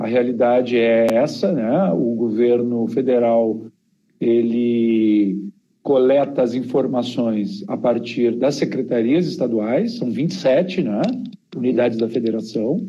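A man speaks at a very slow pace in a medium pitch with ordinary pitch variation. Room echo is audible. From Rio Grande do Sul, southern Brazil. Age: 40s. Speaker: geographer and demographer, professor. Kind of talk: interview conversation.

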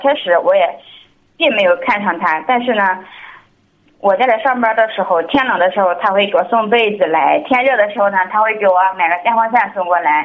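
Her pace fairly quick, a woman speaks at medium pitch with lively intonation. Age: 20s. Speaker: caller seeking marriage advice. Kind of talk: call-in advice conversation. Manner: halting.

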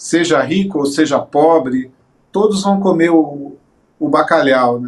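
Here a man speaks at a fairly high pitch. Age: 50s. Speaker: singer and guitarist. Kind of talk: interview. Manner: halting.

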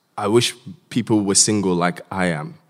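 With an ordinary speaking voice, a man talks fairly slowly at a fairly low pitch and with ordinary pitch variation. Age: 20s. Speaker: doctor. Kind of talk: panel discussion.

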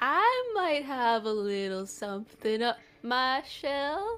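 A female-sounding voice is put on as a character, pitched high and delivered at a very slow pace. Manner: playful, coy.

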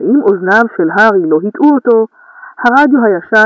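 Lively intonation runs through the speech. It comes from an unforced reading voice.

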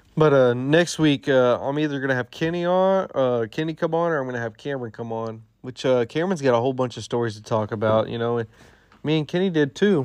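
The man talks at a very fast pace in a medium pitch. The background is quiet. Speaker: solo podcast host. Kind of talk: casual solo monologue. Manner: rambling with many fillers.

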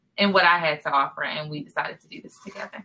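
With an ordinary speaking voice, a woman talks at a fairly low pitch that varies in an ordinary way. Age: 40s. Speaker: podcast co-host, author. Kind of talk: casual chat.

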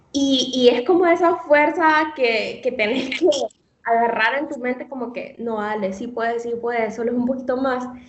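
A woman's high voice with audible room echo. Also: ordinary pitch variation, moderate pace. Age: 20s. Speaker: nutrition student. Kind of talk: casual interview.

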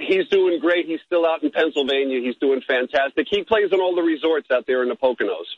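With a normal speaking voice and a fairly high pitch, a man talks at a fairly quick pace with ordinary pitch variation. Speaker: caller, musician. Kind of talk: casual chat. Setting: phone call.

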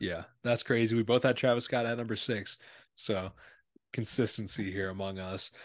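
Against a quiet background, a man with an unremarkable speaking voice talks at medium pitch and a moderate pace, with fairly even intonation. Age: 20s. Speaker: podcast host. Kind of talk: casual chat. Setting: video call.

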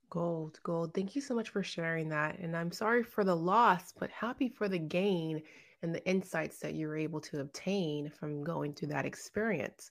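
Speaking in an ordinary speaking voice, a woman with a fairly low pitch keeps a moderate pace, ordinary pitch variation, and hardly any pauses. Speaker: podcast host. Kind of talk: interview podcast. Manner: upbeat.

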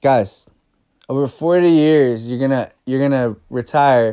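Speaking at a fairly slow pace, a man has a medium pitch, a dark, mellow tone and fairly even intonation. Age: 20s. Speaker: barber and personal finance podcaster. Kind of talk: casual solo monologue. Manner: conversational, filler-heavy.

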